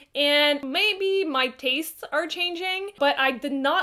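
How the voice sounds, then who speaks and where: Against a quiet background, a woman with a French Canadian accent talks at a high pitch with ordinary pitch variation. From Quebec, Canada. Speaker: book reviewer. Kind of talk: casual talk to camera. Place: home room.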